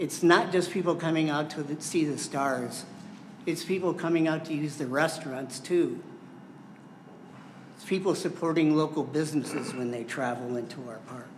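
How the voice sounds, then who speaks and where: With an Upper Midwest accent, a man speaks at a fairly high pitch with ordinary variation, amid audible room echo and noticeable background noise. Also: moderate pace. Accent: Upper Midwest American. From US Midwest (southwest Michigan). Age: 70s. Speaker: member of the public. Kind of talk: public comment at a county board meeting. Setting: county board meeting room.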